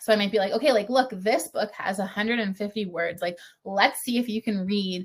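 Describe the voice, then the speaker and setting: A woman with a Canadian accent speaks in a medium pitch. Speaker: French primary teacher. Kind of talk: webinar Q&A. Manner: fast.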